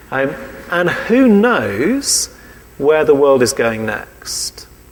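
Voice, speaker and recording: With an English accent, a man speaks at a very slow pace with very wide pitch swings, amid noticeable background noise and audible room echo. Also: fairly high pitch for a man. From England. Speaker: preacher. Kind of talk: sermon.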